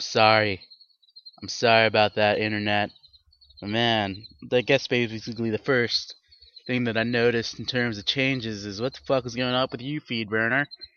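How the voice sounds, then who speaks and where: A man speaks at a moderate pace and medium pitch in a bored, flat monotone, his loudness swinging widely. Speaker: podcast host. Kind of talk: casual solo podcast monologue. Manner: flat, bored-sounding delivery.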